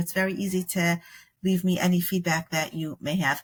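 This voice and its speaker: A woman speaks at a medium pitch in a somewhat breathy voice. The recording is very clean, with a silent background. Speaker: podcast host. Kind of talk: casual chat. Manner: fast.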